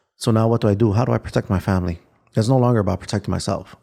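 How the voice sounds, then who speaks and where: A man with an American accent talks very fast in a dark, mellow tone, his pitch varying in an ordinary way. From Chicago. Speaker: former gang member turned victim advocate. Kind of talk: interview answer.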